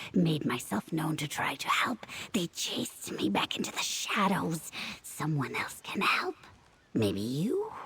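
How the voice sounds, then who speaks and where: A whispered, put-on character voice at a fairly slow pace. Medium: video game. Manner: clipped, fragmentary phrases, answering itself.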